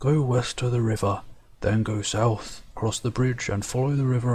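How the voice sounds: Fairly even intonation in a natural reading voice.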